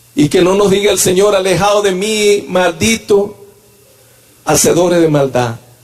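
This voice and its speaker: Over noticeable background noise, a man with a high pitch speaks in an animated tone, with ordinary pitch variation and very even loudness. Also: fairly slow pace. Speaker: church elder and preacher. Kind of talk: sermon. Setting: church.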